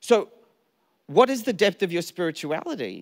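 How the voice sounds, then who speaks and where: A high-pitched man with an Australian accent at a moderate pace, over a quiet background. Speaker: pastor. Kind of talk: sermon. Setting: church stage with audience. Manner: animated. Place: church. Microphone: handheld.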